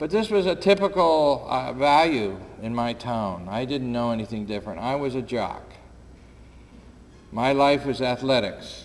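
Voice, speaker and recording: In an American accent, a man uses an ordinary speaking voice at a medium pitch, moving at a moderate pace with lively intonation. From upstate New York. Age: 60s. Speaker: war veteran and peace activist. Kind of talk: public talk. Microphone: too quiet at first, volume raised.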